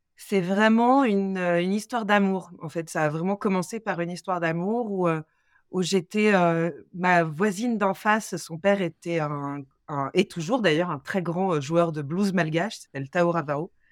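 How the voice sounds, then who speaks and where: A woman has an ordinary speaking voice, fairly low in pitch with ordinary variation, at a fairly slow pace. The recording is very clean with a silent background. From Paris suburbs, Seine-Saint-Denis (93). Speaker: opera singer. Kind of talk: interview.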